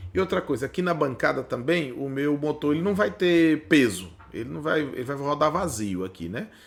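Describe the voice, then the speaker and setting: Here a man speaks at a fairly high pitch. His pitch swings very widely. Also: hardly any pauses. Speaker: automation instructor. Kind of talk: tutorial. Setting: workbench. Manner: fast; casual, conversational.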